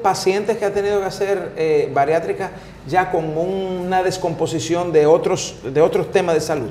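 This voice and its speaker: A high-pitched man at a moderate pace with fairly even intonation, amid audible room echo and light background noise. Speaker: talk show host. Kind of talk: casual interview chat. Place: studio. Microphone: lapel.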